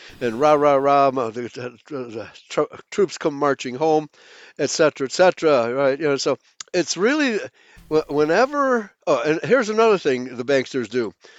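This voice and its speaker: A man's normal speaking voice, fairly high in pitch, with lively intonation and a moderate pace. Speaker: guest. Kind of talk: casual chat.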